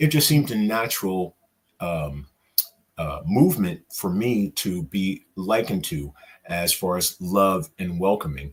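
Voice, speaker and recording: Pitched very deep and low, a man speaks fairly slowly with lively intonation. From New York. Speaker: interview guest. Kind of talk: interview.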